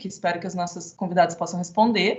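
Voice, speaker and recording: Somewhat breathy, a woman speaks at a fairly quick pace with fairly even intonation. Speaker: architect and council member moderating panel. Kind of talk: event moderation. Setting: online event, video call. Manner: fast.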